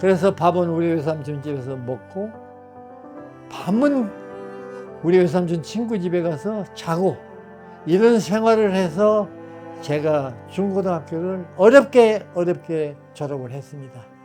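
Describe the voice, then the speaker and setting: Against music in the background, a man with a high pitch speaks at a very slow pace with long, frequent pauses. His intonation is lively, and his loudness swings widely. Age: 80s+. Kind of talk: personal memoir told to family.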